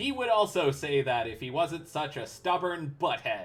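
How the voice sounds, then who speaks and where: The voice here is an exaggerated put-on character. Its speed is moderate. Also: man. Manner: sinister, taunting.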